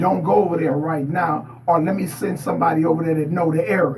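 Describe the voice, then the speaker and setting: A man speaks at a fairly quick pace with a fairly high pitch, with audible room echo and noticeable background noise. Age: 70s. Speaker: interview guest, former street figure. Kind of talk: casual interview.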